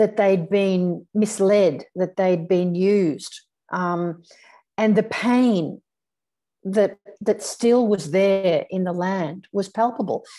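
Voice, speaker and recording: A woman speaks at a very slow pace in a medium pitch. Her tone is dark and mellow, and her intonation is fairly even. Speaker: spiritual teacher, psychic medium. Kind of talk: online talk to a group. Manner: frequent fillers and repetitions.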